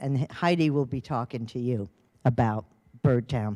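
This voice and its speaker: Speaking at a fairly slow pace with an American accent, a woman has a very deep, low, dark, mellow voice with ordinary pitch variation, on a very clean recording with a silent background. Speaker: retired volunteer speaker. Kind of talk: public talk. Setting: public meeting with audience and microphone. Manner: loud.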